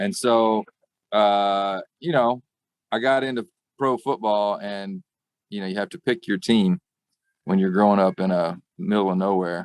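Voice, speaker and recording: Long, frequent pauses break up moderate-paced speech in a Southern accent. The pitch varies in an ordinary way, and the sound is dry and close with no echo. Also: man, fairly low pitch for a man. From US South, rural Arkansas. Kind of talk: interview.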